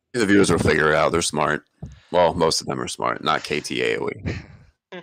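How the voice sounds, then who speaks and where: With an American accent, a man talks at a moderate pace in a very deep, low voice with vocal fry and lively intonation. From United States. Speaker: esports tournament host. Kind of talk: casual chat. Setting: livestream.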